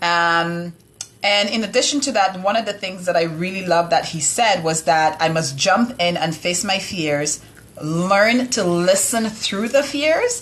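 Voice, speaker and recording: Speaking fairly slowly with a West Indian accent, a woman at a medium pitch uses lively intonation over noticeable background noise. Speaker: live show co-host. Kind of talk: casual live-stream recap.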